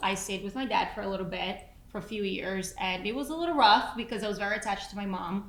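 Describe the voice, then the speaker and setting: With ordinary pitch variation, a woman talks at a very fast pace over noticeable background noise. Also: medium pitch for a woman, hardly any pauses. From Brazil, moved to New Jersey at fourteen. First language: Portuguese. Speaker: podcast co-host, entrepreneur and mother. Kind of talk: casual chat.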